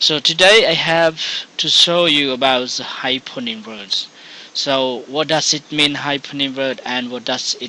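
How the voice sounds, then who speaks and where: A man with a non-native accent speaks at a fairly slow pace, his fairly high pitch showing ordinary variation. Noticeable background noise runs under him. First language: Khmer. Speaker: English teacher. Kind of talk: tutorial. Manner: halting.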